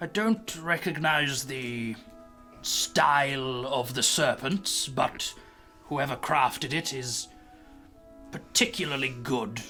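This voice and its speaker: A man's put-on character voice at a fairly slow pace, broken by long, frequent pauses, with clear music behind. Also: medium pitch for a man. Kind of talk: fantasy game character voice. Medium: actual play. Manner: rambling, pedantic.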